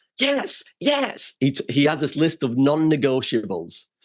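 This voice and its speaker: This is a man speaking with a Scottish accent. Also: quiet background. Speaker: memory expert. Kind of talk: casual chat.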